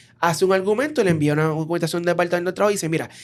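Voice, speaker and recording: A man talks with a Puerto Rican accent. His pitch sits high. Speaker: podcast host. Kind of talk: interview.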